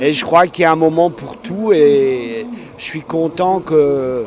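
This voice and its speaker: There is noticeable background noise as a man talks at a very slow pace. His pitch is fairly high, with ordinary variation. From Alsace, France. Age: 70s. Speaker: blind tandem cyclist. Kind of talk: interview.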